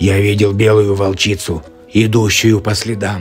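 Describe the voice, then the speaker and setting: This man uses a cartoonish character voice at a fairly low pitch. He talks at a moderate pace over clear background music. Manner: determined.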